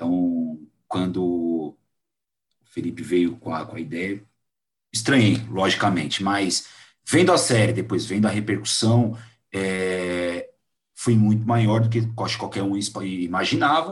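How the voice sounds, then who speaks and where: Fairly slow speech from a man with a fairly low pitch and ordinary pitch variation, broken by long, frequent pauses. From Brazil. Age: 30s. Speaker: podcast host. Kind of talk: casual interview chat.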